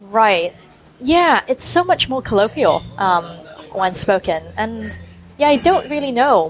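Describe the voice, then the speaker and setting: Over music in the background, the speaker talks at a fairly slow pace with lively intonation. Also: woman. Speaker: journalist. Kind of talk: interview. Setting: cafe.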